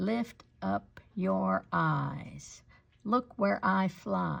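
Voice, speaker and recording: A woman in a put-on character voice, at a very slow pace. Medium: read story.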